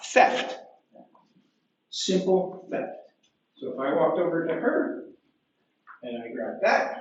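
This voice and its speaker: A loud man speaks at a high pitch with very wide pitch swings. His pace is very slow, with long, frequent pauses and audible room echo. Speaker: police officer. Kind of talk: lecture. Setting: library talk with audience.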